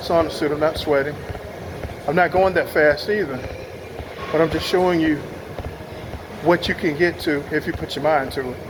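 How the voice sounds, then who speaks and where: A man with a fairly high pitch talks at a fairly quick pace but leaves long, frequent pauses, with noticeable background noise behind him. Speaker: fitness vlogger. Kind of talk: casual walkthrough vlog while exercising. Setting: on a treadmill.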